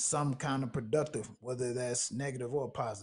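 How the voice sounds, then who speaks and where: Somewhat breathy, a man of medium pitch speaks at a moderate pace. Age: 20s. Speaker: podcast host. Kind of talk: casual chat.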